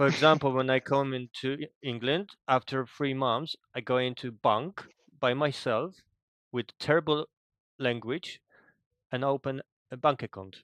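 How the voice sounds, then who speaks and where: A man with a Polish accent speaks at a medium pitch and a fairly slow pace, with fairly even intonation and long, frequent pauses, in a dry, close sound with no echo and a quiet background. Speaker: gamer. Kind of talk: casual chat.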